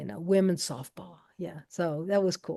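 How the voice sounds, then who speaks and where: A woman with an American accent, dark, mellow tone and moderate pace. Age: 70s. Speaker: archivist. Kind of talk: panel discussion. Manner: halting.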